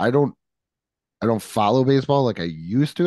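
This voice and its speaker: A normal speaking voice with lively intonation at a fairly quick pace, dry and close with no echo against a quiet background. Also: man. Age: 40s. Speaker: sports podcast co-host. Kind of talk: casual chat.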